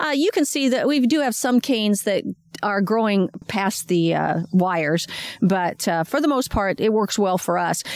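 With an American accent, a woman speaks at a moderate pace. Her pitch is fairly high. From Washington State. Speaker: master gardener. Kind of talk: casual interview. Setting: outdoors in garden. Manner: hesitant, many fillers.

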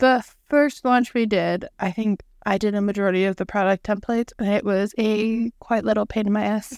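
A woman speaks in a plain, everyday voice at a fairly high pitch with fairly even intonation. The recording is very clean, with a silent background and a dry, close sound without echo. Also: moderate pace. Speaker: podcast co-host. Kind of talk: casual chat.

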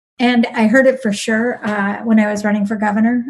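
A woman's fairly high, somewhat breathy voice, dark and mellow in tone, with an Upper Midwest accent. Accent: Upper Midwest American. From southern Wisconsin. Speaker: nurse and politician. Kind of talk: podcast interview.

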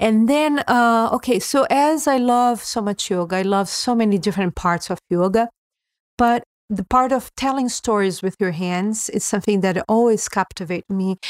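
A woman with a Portuguese accent speaks at a moderate pace in a fairly high pitch with ordinary pitch variation, in a very clean, dry, close recording with no echo and a silent background. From Brazil. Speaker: yoga teacher. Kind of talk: interview conversation.

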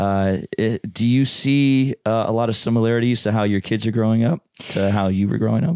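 In a normal speaking voice, the speaker moves at a fairly quick pace with hardly any pauses, very even loudness and ordinary pitch variation, the sound dry and close with no echo. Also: man, medium pitch for a man. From Hamilton, Ontario, Canada. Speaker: podcast host and singer-songwriter. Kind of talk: casual interview.

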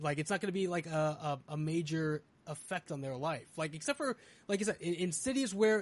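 Against a quiet background, a man with a plain, everyday voice speaks at a moderate pace, fairly high in pitch, with lively intonation. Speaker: podcast host. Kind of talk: casual banter podcast. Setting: live stream.

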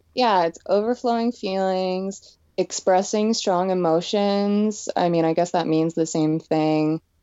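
A woman speaks in an ordinary speaking voice at a medium pitch, with ordinary pitch variation and very even loudness. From Pennsylvania, US. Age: 20s. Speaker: makeup artist and designer. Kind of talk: casual interview.

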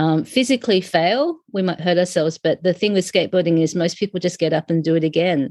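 A woman's fairly low, dark, mellow voice in an Australian accent, with ordinary pitch variation, in a very clean recording with a silent background and a dry, close sound with no echo. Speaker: sociologist and skateboarding community organizer. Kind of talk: interview.

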